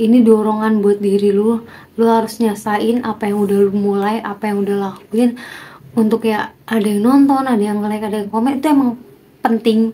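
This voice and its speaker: A woman speaks fairly quickly at a fairly high pitch, somewhat breathy. Her tone is dark and mellow, her intonation monotone and flat. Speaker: vlogger doing a speaking challenge. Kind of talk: casual vlog monologue to camera. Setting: at home, talking to camera. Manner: unscripted, spontaneous.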